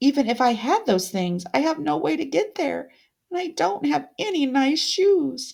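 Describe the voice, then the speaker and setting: A female-sounding put-on character voice, high-pitched, with very wide pitch swings, a moderate pace, and a very clean recording over a silent background. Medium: read story. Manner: quiet, earnest.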